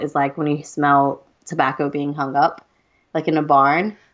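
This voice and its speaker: With an American accent, this woman speaks at a very deep, low pitch. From US South, Georgia. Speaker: podcast co-host. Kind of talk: casual chat. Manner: animated.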